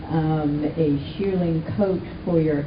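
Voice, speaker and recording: Over noticeable background noise, a woman speaks very slowly at a fairly low pitch with fairly even intonation. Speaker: radio correspondent. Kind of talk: interviewer questions.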